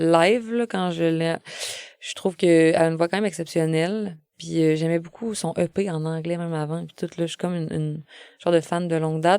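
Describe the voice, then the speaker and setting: A woman talks at a fairly quick pace in a Quebec accent. Her tone is dark and mellow, her intonation fairly even. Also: fairly low pitch for a woman. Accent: Québécois French. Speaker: singer-songwriter. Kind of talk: casual interview chat. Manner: hesitant, many fillers.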